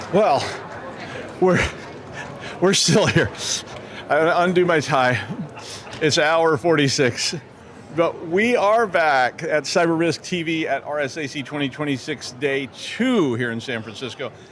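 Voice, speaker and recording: A man speaks at a fairly slow pace with a fairly high pitch and lively intonation, leaving long, frequent pauses over noticeable background noise. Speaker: cybersecurity news show host. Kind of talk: casual comedic banter on live broadcast. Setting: live broadcast booth at a conference. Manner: animated.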